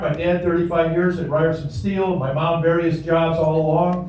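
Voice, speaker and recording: With an American accent, a man speaks at a fairly high pitch, with audible room echo and noticeable background noise. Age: 70s. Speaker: public commenter, veteran. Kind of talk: public comment at meeting. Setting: township board meeting.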